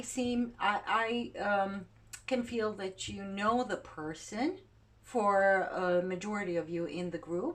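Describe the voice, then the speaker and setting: A woman with a non-native accent speaks at a very slow pace. Her pitch sits in the medium range, and her intonation is lively. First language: not English. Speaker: tarot reader. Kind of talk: tarot reading. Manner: halting.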